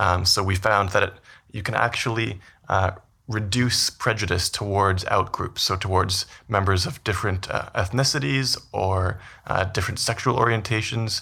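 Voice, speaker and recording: A man with a Canadian accent speaks at a moderate pace, his fairly low pitch showing ordinary variation. His tone is bright and sharp, on a very clean recording with a silent background. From Canada, Vancouver. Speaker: business school professor, behavioral scientist. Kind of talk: interview.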